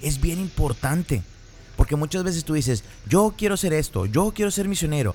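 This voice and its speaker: The pace is moderate, with lively intonation. It is an ordinary speaking voice. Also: man. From northern Mexico (Piedras Negras, Coahuila). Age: 30s. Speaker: podcast host. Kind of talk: casual chat.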